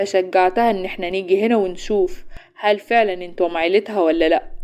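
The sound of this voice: This is an unforced reading voice. The words are read aloud.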